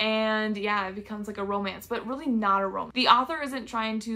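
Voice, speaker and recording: A woman talks in a medium pitch. Her pitch varies in an ordinary way. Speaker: booktuber. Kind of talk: casual book haul vlog.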